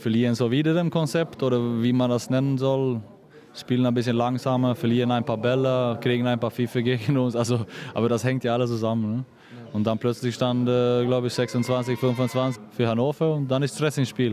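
Over noticeable background noise, a man speaks at a medium pitch and moderate pace. His intonation is monotone and flat, his loudness very even. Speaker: handball goalkeeper. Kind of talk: post-match interview. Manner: disappointed.

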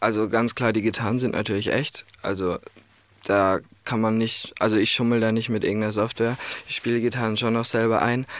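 A man at a fairly quick pace, with monotone, flat intonation and very even loudness. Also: medium pitch for a man. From Ireland. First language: English (speaking German). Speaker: music producer and songwriter. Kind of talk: radio interview.

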